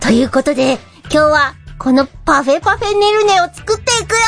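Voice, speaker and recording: The speaker puts on a high-pitched character voice at a moderate pace. Faint music plays in the background. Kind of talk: casual video host. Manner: upbeat, energetic.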